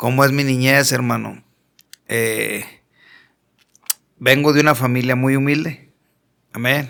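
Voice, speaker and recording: A man with a strong Monterrey accent speaks in a flat monotone with a bright, sharp tone. He leaves long, frequent pauses. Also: medium pitch for a man, fairly slow pace. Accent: strong northern Mexican (Monterrey). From Mexico, Monterrey. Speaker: pastor. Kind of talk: testimony. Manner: blunt, forceful northern delivery.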